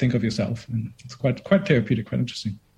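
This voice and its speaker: A man's somewhat breathy voice at medium pitch, with ordinary pitch variation. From Germany. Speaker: filmmaker. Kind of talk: interview.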